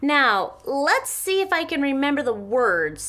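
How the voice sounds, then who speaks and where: A woman does a put-on character voice at a high pitch with very wide pitch swings. She speaks at a fairly slow pace. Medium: read story. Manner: boastful.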